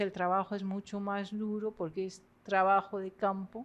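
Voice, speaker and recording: A woman talks at a fairly slow pace in a French accent. Her pitch sits in the medium range. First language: French (speaking Spanish). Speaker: literature professor. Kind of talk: lecture. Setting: university lecture hall with audience. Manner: halting.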